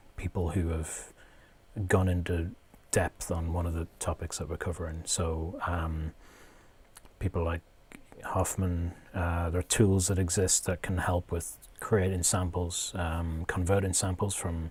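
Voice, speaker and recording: A man's very deep, low voice, somewhat breathy and monotone, with long, frequent pauses. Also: fairly slow pace. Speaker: music producer and streamer. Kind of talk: tutorial livestream. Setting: live stream. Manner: hesitant, many fillers.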